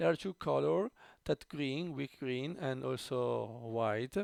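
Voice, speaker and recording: In an Italian accent, a man talks at a very slow pace with a medium pitch. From Italy. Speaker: tech YouTuber. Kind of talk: unboxing tutorial. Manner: halting, many fillers.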